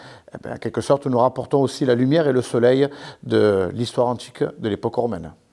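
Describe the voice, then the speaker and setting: A man talks at a fairly quick pace in a southern French accent. His tone is dark and mellow. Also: medium pitch for a man, ordinary pitch variation. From southern France, Carpentras (Vaucluse). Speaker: historical reenactment association president. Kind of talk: interview explanation. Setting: museum.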